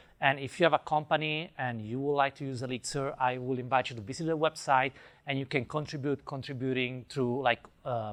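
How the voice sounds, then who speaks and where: A man at medium pitch with fairly even intonation and a fairly quick pace. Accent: Italian. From Italy. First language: Italian. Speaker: software developer, conference speaker. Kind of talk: conference talk. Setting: stage with audience, wireless mic.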